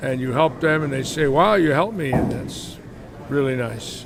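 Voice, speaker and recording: Over noticeable background noise, a man with a Bronx accent speaks at a moderate pace with a fairly high pitch and ordinary pitch variation. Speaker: bowling live commentator. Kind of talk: live commentary. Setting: bowling alley live stream. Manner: casual, chatty.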